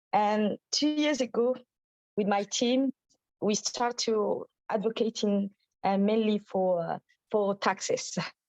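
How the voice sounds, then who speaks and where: A woman with a French accent speaks very slowly, with long, frequent pauses, in a fairly high pitch with ordinary pitch variation. Her loudness is very even, and the sound is dry and close, with no echo. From Djibouti. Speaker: menstrual health advocate. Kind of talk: webinar participant sharing experience. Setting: video call webinar. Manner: halting, many fillers and repetitions.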